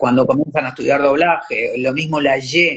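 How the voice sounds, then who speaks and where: The voice belongs to a man. Its pitch moves up and down to a normal degree. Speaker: actor and voice actor. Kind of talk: interview. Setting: live stream.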